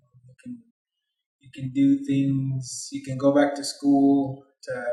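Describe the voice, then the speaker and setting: Over music in the background, a man speaks very slowly in a fairly high, monotone, flat voice. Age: 30s. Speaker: crop manager. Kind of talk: career interview. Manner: halting.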